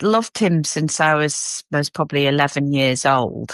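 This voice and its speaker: In an English accent, a woman speaks at a fairly slow pace with a very deep, low pitch, recorded very cleanly against a silent background with a dry, close sound and no echo. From England, Cheshire. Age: 50s. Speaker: podcast guest. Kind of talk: casual interview.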